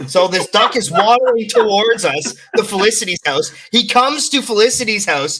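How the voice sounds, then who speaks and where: With a Canadian accent, a man uses a raised, projected voice at a high pitch, his animated tone and lively intonation running on with hardly any pauses. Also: moderate pace. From Canada, near Toronto. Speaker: content creator. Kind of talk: casual chat.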